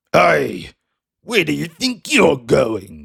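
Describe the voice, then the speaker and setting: Putting on a character voice, a man sounds raspy. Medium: audio drama. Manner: gruff, growling.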